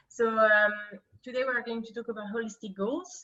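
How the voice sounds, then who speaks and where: A woman's fairly high voice with a French accent. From France. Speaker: career coach. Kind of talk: online workshop presentation. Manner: halting, many fillers.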